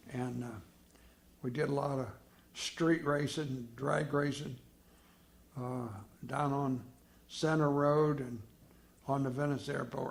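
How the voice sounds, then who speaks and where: A man with an American accent speaks at a fairly high pitch and a fairly slow pace, somewhat breathy and with fairly even intonation. He takes long, frequent pauses. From Florida. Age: 80s+. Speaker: retired funeral home owner. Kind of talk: oral history interview answer.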